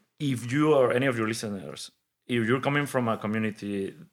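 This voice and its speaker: At a moderate pace, a man speaks at a medium pitch with a Spanish accent. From Mexico City, Mexico. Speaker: innovation hub leader and engineer. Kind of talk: interview conversation. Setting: studio. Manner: energetic.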